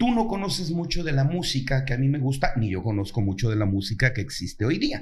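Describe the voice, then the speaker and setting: A man's voice with vocal fry, very wide pitch swings, a fairly quick pace, and audible room echo. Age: 60s. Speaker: actor and playwright. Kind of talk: interview conversation.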